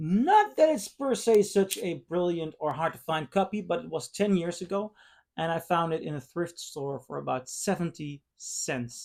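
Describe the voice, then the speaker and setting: The speaker has a Dutch accent. The recording is very clean, with a silent background. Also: moderate pace. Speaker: vinyl record reviewer. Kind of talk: casual review monologue. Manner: hesitant, many fillers.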